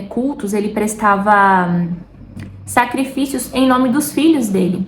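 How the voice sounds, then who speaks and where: A woman with a strong São Paulo interior accent over noticeable background noise. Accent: strong caipira. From interior of São Paulo state, Brazil. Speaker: lifestyle and faith vlogger. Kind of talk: casual faith talk to camera. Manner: chatty, informal.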